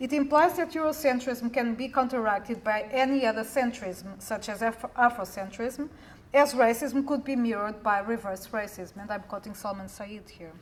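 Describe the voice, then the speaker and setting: Fairly high in pitch, a woman talks with hardly any pauses and ordinary pitch variation. Her loudness swings widely. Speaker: academic researcher. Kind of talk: conference talk. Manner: fast; formal. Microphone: too quiet, not speaking into the mic.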